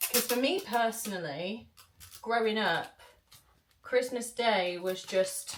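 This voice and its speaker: A woman with a British accent and a fairly high pitch. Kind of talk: casual vlog talk to camera.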